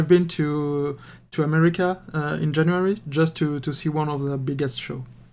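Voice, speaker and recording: A man with a French accent talks at a moderate pace in a fairly high pitch with ordinary variation, on a very clean recording with a silent background. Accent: French accent, speaking English. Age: 30s. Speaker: miniature painting hobbyist and game master. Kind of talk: casual chat. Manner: halting, many repetitions and fillers.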